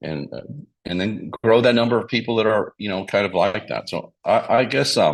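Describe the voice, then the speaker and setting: Vocal fry marks this man's fairly low-pitched voice. He talks at a moderate pace with ordinary pitch variation. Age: 60s. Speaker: financial services business leader. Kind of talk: interview talk sharing business experience. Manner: halting, with many repetitions and fillers.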